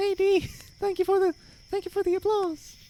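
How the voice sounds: A squeaky put-on character voice at an extremely high pitch goes at a fairly slow pace in a monotone, flat intonation.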